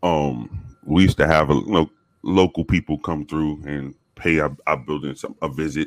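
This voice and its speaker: A man with an American accent speaks at a very deep, low pitch with vocal fry, keeping fairly even intonation at a moderate pace. The recording is very clean, dry and close, with no echo and a silent background. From South Bronx, New York. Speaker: former police officer, podcast guest. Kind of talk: casual chat, storytelling.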